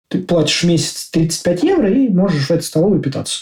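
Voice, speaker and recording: A man talks at a fairly quick pace with a high pitch and a dark, mellow tone. His pitch varies in an ordinary way. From Russia, Moscow. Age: 30s. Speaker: IT developer. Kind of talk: casual interview.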